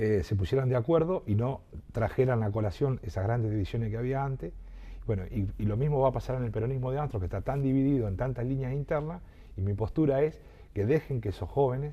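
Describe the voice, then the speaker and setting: Talking at a very fast pace, a man has a dark, mellow tone and a somewhat breathy sound. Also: medium pitch for a man, ordinary pitch variation. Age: 60s. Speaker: local politician and journalist. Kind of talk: interview. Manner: halting, many repetitions.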